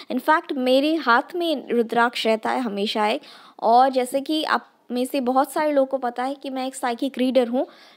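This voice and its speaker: A woman with a slight Northeast Indian accent speaks at a high pitch with fairly even intonation. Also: moderate pace. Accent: slight Northeast Indian accent in Hindi. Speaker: sociology tutor. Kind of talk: lecture. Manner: hesitant, with fillers and code-switching to English.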